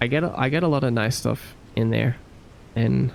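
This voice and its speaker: A man with an Australian accent. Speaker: game developer and streamer. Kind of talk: casual live stream chat. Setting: live stream.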